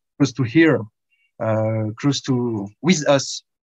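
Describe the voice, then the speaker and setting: A man with a French accent speaks at a very slow pace. The sound is dry and close, with no echo. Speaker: event host, interviewer. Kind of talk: interview. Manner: halting.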